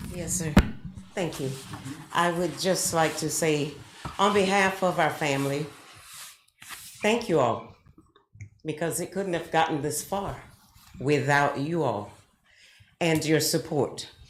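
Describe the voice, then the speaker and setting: A woman with an American accent speaks at a very deep, low pitch with ordinary variation, at a fairly slow pace with long, frequent pauses. Room echo is audible. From South Florida, US South. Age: 70s. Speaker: resident speaking at public comment. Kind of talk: public comment. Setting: city commission meeting.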